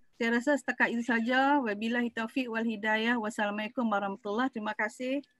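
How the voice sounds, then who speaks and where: Delivered at a very fast pace with hardly any pauses, the speech in a Malaysian accent is monotone and flat, with a dry sound with no echo and a quiet background. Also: woman, fairly high pitch for a woman. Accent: Malaysian Malay. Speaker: university lecturer. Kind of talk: lecture. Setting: video call. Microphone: video call.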